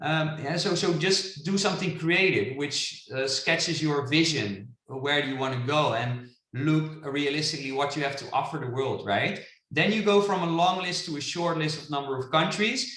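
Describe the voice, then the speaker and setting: Amid audible room echo, a man talks at a moderate pace in a fairly high pitch with ordinary variation. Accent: Dutch. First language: Dutch. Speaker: international business coach. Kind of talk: webinar presentation. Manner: animated.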